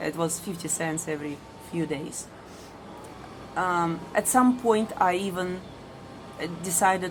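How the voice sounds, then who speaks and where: A woman with a fairly low pitch speaks fairly slowly, with audible room echo around her. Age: middle-aged. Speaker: ESL teacher. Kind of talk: personal vlog monologue. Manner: hesitant with many fillers.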